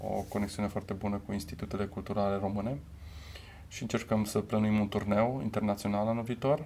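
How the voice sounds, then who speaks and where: At a fairly quick pace, a man speaks in a fairly low pitch with a dark, mellow tone. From Romania, Timișoara. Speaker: cultural manager and percussionist. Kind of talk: interview.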